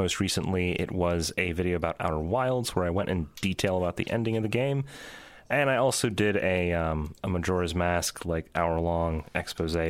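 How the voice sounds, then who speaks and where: Very deep and low in pitch, a man speaks at a moderate pace with very even loudness and ordinary pitch variation. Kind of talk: casual chat. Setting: video call.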